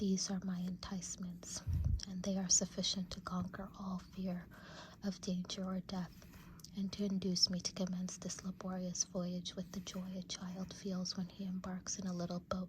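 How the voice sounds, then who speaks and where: Someone whispers at a moderate pace. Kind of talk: audiobook-style classic literature reading, ASMR. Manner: whispered.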